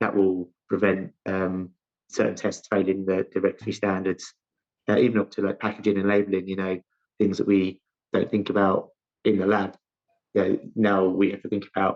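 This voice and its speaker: In a London accent, a man speaks at a fairly quick pace with a fairly low pitch and monotone, flat intonation, broken by long, frequent pauses. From South London, England. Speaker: chief scientific officer, chemist. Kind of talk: interview. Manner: halting, many false starts.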